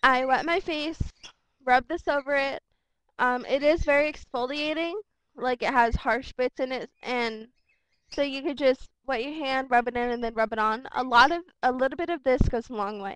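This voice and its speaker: Recorded dry and close with no echo against a quiet background, a woman speaks at a high pitch. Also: ordinary pitch variation. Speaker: beauty vlogger. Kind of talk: product review. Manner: fast; casual, filler-heavy. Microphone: laptop mic, hard to hear.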